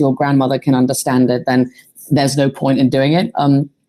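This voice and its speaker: Here a woman speaks with a British accent. Her voice has a very deep, low pitch and a dark, mellow tone. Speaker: archaeologist and AI popularizer. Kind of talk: panel discussion. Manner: animated.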